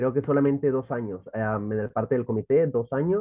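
A man's voice at a medium pitch. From El Salvador, Santa Ana. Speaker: church youth worker. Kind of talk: casual chat.

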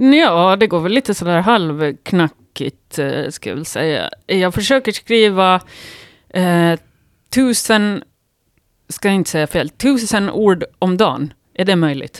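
In a very clean recording with a silent background and a dry, close sound with no echo, a woman speaks very slowly at a medium pitch with lively intonation. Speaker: writer and yoga teacher. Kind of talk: casual chat. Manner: halting.

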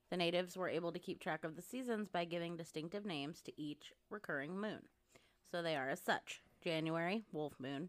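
A woman's fairly low-pitched voice, animated in tone, with ordinary pitch variation. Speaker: podcast host. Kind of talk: casual chat. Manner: animated, joking.

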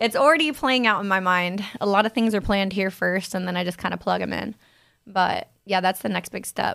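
An animated woman's voice with an American accent, medium pitch and ordinary pitch variation, at a fairly quick pace, on a very clean recording with a silent background. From Ohio, US Midwest (Loveland, near Cincinnati). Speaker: singer and model. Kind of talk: casual interview chat. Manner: animated, laughs often.

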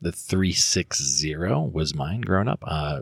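Vocal fry runs through a fairly slow delivery with ordinary pitch variation. The recording is very clean, with a silent background. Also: man. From US West Coast. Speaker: school counselor and teacher. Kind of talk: casual chat.

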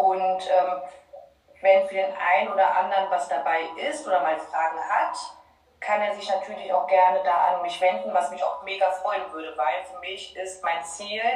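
The speech comes at a fairly slow pace with ordinary pitch variation and big swings in loudness. Audible room echo and noticeable background noise fill the recording. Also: woman. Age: 30s. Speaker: financial education coach for parents. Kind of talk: casual interview. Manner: hesitant, many filler sounds.

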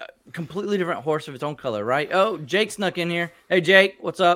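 A man talks fairly quickly in an animated, bright and sharp tone. His pitch sits high, with ordinary variation. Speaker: podcast host. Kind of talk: casual chat.

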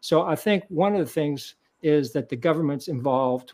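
Over a quiet background, a man with an American accent speaks at a fairly high pitch with ordinary pitch variation. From Kentucky. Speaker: vegan author and speaker. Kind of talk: interview. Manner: hesitant with fillers.

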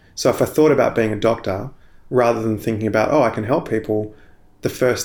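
A man with an Australian accent, fairly low in pitch and very fast in pace. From Australia, Sydney. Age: 30s. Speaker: Anglican minister. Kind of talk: interview testimony.

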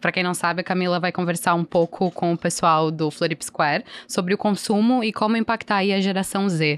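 A woman with a normal speaking voice at a medium pitch, fairly quick pace and very even loudness, in a dry, close sound with no echo and a very clean recording with a silent background. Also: fairly even intonation. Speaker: podcast host. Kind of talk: casual chat.

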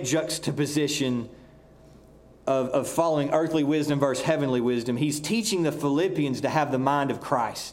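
This man speaks with a Southern US accent. His pitch is fairly high. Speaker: pastor. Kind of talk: sermon. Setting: church.

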